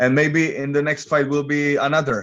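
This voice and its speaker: A man speaks with a Czech accent. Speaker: MMA fighter. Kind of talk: interview. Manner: halting.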